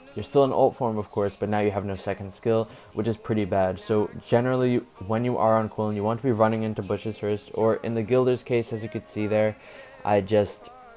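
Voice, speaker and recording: Over noticeable background noise, a man speaks at a fairly quick pace. His fairly low voice has monotone, flat intonation. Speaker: mobile game streamer. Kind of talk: gameplay commentary. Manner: casual, conversational.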